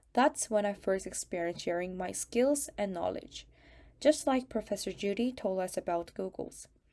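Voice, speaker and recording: A woman with a Korean accent and a medium pitch speaks at a moderate pace, her tone dark and mellow and her intonation lively. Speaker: student. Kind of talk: prepared testimony talk.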